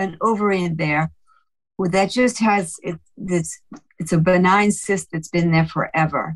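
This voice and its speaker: Somewhat breathy, a woman speaks at a medium pitch and a fairly slow pace, her pitch varying in an ordinary way. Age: 70s. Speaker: caller. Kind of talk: casual chat.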